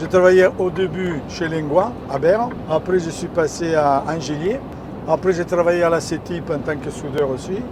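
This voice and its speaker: Over noticeable background noise, a man talks at a moderate pace with a high pitch and ordinary pitch variation. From Italy (Ferrara). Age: 70s. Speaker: truck driver. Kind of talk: casual interview. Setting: in a truck.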